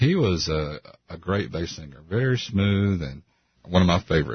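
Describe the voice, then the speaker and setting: A man's very deep, low voice, somewhat breathy, with lively intonation at a fairly slow pace. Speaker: radio co-host. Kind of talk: radio interview. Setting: studio.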